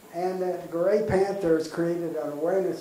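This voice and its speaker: Against light background noise and audible room echo, a man with an American accent speaks fairly slowly in a high voice with fairly even intonation. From US Northeast, Massachusetts. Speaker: volunteer archivist presenting local history. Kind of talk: public lecture with slides. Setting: community center room with audience. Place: hall.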